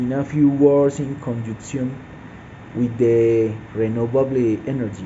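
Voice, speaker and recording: A medium-pitched man with fairly even intonation and long, frequent pauses, amid audible room echo and noticeable background noise. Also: fairly slow pace. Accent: Spanish. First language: Spanish. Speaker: mining engineer student. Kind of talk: class assignment presentation. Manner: halting, hesitant with fillers.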